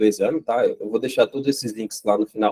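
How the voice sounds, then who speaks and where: A man's dark, mellow, medium-pitched voice, dry and close with no echo. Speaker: site reliability engineer giving a talk. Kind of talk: technical talk. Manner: fast; halting, many fillers.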